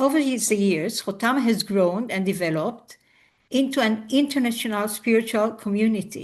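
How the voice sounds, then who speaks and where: A woman speaks at a moderate pace and fairly high pitch, somewhat breathy, with ordinary pitch variation. Her loudness stays very even over a quiet background. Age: 60s. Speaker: biographical counselor. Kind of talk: interview. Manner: halting.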